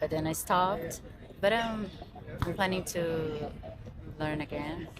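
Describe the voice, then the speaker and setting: A woman speaks in a Portuguese accent with fairly low pitch and fairly even intonation. Noticeable background noise and audible room echo are present. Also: fairly slow pace. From Brazil, Rio de Janeiro. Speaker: street interview passer-by. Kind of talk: street interview.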